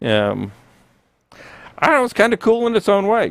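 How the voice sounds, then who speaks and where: A man with an American accent talks at a moderate pace in a very clean recording with a silent background. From US, Florida (Clearwater). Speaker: woodturning instructor, channel founder. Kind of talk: live-stream tutorial. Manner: casual, chatty.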